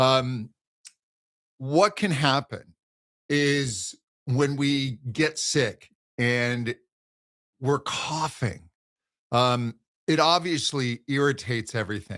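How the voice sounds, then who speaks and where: At a very slow pace and with long, frequent pauses, a man speaks in a medium pitch with ordinary pitch variation. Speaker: voice teacher. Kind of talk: live Q&A. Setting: livestream.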